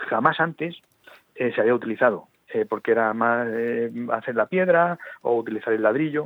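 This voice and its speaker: Pitched in the medium range, a man speaks at a moderate speed, his pitch shifting in an ordinary way. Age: 50s. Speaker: lawyer and former mayor, author. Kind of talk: radio interview. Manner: halting, many repetitions.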